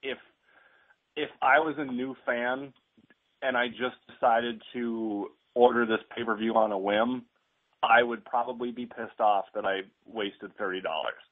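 With little sound behind him, a man talks rather slowly, his intonation fairly even. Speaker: caller, fellow wrestling podcaster. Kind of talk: casual chat. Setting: phone call. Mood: opinionated, mildly frustrated. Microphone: phone line.

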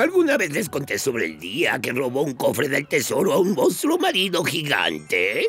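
Clear music plays in the background. A man speaks in a put-on character voice at a moderate pace. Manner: gruff, theatrical.

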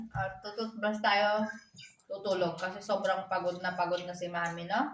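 Audible room echo around moderate-paced speech with fairly even intonation. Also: woman. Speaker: vlogger, single mother. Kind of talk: casual home vlog.

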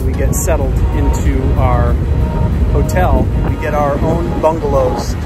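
A man's voice comes through dry, with no echo, against loud music in the background. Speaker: travel vlogger. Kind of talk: casual vlog chat. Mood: excited, happy. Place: boat. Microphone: phone near.

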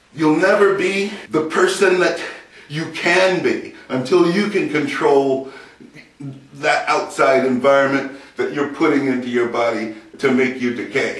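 A man's fairly high voice with ordinary pitch variation at a fairly slow pace, with audible room echo. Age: 60s. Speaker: grandfather. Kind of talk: casual talk to camera. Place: empty room. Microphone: camera far.

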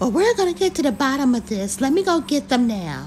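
Over clear music in the background, a woman uses a put-on character voice with high pitch, very even loudness and a fairly quick pace. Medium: comedy sketch. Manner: polite, professional.

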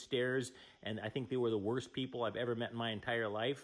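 Talking at a very fast pace, a man is heard with little sound behind him. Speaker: caller. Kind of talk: angry phone confrontation.

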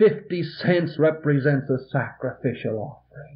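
A man's fairly high voice with an American accent, fairly slow and with ordinary pitch variation. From American Midwest (Illinois). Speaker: Presbyterian pastor. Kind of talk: sermon. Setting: vintage reel-tape recording from a church. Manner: earnest, pointed, exhorting. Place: church. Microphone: old recording.

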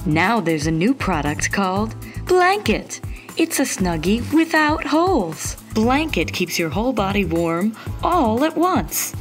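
A woman's upbeat tone at a fairly slow pace, with music in the background. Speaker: narrator. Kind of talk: TV infomercial read (parody). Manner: upbeat, salesy.

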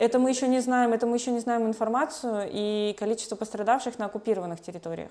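A woman speaks at a very fast pace with hardly any pauses, her pitch fairly high and ordinary in variation. Her tone is dark and mellow. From Russian Far East, Khabarovsk; Russian Far East. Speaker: human rights lawyer. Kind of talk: interview. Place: home room. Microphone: lapel.

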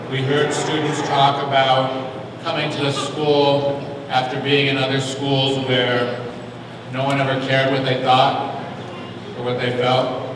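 A man talks at a fairly slow pace in a monotone, flat intonation. Strong room echo and noticeable background noise surround him. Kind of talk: public address at a hearing. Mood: earnest, encouraging. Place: hall.

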